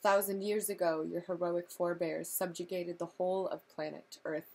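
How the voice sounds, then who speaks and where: Her pitch fairly low, a woman speaks at a moderate pace in a monotone with flat intonation. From California. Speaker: reader. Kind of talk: audiobook reading of a novel, read-along to camera. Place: home room. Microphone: webcam.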